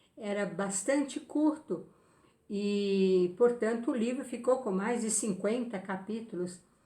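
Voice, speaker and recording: A woman with a fairly high pitch, speaking at a very slow pace. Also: ordinary pitch variation. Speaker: spiritist medium and book reviewer. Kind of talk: book review talk.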